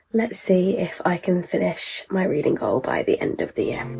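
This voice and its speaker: A woman speaks quietly with a British accent. Her pace is moderate. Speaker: book vlogger. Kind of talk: vlog. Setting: in a car and at a petrol station.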